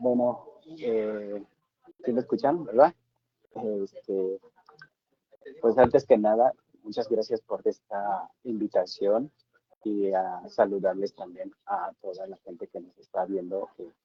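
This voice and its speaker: A man at a very slow pace, with long, frequent pauses and big swings in loudness. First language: Tseltal (speaking Spanish). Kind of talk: panel discussion. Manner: halting.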